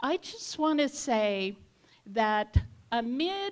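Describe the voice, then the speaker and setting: Speaking very slowly, a woman uses lively intonation at a fairly high pitch. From Australia. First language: Yugoslav language (English is third language). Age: 70s. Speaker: community center leader. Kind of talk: invocation speech at community meeting.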